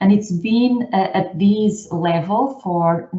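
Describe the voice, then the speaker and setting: The speaker has a Portuguese accent and lively intonation. Music plays in the background. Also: woman. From northern Portugal, rural. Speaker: scientist and outreach organiser. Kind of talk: seminar presentation.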